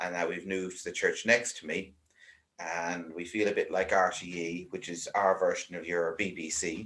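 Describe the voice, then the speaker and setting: A man's very deep, low voice in an Irish accent, flat and monotone. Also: moderate pace, very clean recording, silent background. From Ireland. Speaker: vicar. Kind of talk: casual interview chat.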